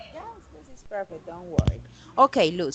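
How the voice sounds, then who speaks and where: Someone with a Colombian accent speaks with very wide pitch swings over noticeable background noise. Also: woman. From Colombia, Santander. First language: Spanish. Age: 30s. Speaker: English teacher. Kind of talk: online English class. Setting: video call.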